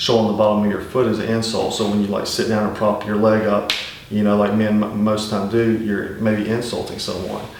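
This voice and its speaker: Speaking in a strong Southern US accent, a man delivers flat, monotone lines at a fairly quick pace and fairly low pitch, with audible room echo and noticeable background noise. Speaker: survival channel host. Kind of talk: casual instructional talk. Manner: conversational, many fillers.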